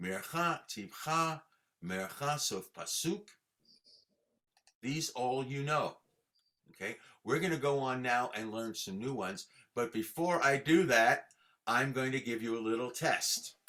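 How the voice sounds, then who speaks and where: A man talks with a bright, sharp tone and lively intonation. His pace is fairly slow, with long, frequent pauses. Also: medium pitch for a man. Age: 70s. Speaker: cantor teaching Torah chanting. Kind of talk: online lesson.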